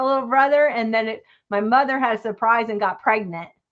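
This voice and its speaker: Speaking with fairly even intonation, a woman has an ordinary speaking voice pitched fairly high. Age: 60s. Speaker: crafter and live-stream host. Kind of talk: casual chat.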